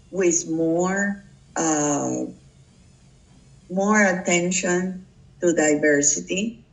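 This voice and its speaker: A woman with a Puerto Rican accent speaks at a fairly low pitch with fairly even intonation. Her pace is very slow, with long, frequent pauses. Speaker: public relations professional. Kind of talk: interview. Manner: halting.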